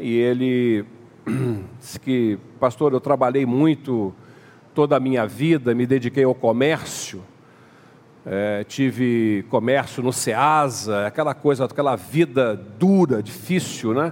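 A man speaks at a very slow pace, leaving long, frequent pauses. His voice sits at a medium pitch with ordinary pitch variation. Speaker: pastor. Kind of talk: sermon.

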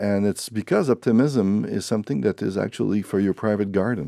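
With a strong Quebec accent, a man speaks at a fairly quick pace in a fairly low pitch with a dark, mellow tone and ordinary pitch variation, in a dry, close sound with no echo against a quiet background. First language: French. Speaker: author. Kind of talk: interview. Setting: radio studio.

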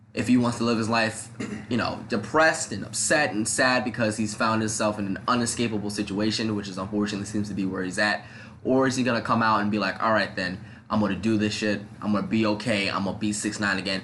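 Speaking at a very fast pace with an American accent, a man uses a bright, sharp tone at a fairly low pitch and fairly even intonation, with audible room echo around him. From New York, the Bronx. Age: 20s. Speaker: podcast host. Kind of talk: casual chat. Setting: home studio.

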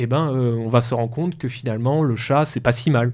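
This man's pitch sits in the medium range and his intonation stays fairly even. He talks at a fairly quick pace. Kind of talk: educational talk. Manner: hesitant.

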